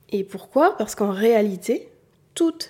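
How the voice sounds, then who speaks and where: Her pitch is fairly high for a woman, yet her tone is dark and mellow as she speaks at a fairly slow pace. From southern France. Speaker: beauty and style coach, podcast host. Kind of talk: solo educational podcast monologue.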